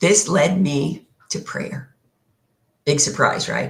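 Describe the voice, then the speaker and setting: A woman is speaking. Her voice carries vocal fry. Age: 70s. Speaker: minister. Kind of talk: sermon.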